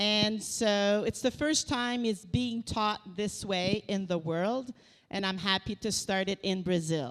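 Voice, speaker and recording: A woman's very slow, medium-pitched voice in a Quebec accent, with ordinary pitch variation. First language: French. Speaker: researcher. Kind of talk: lecture. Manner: halting.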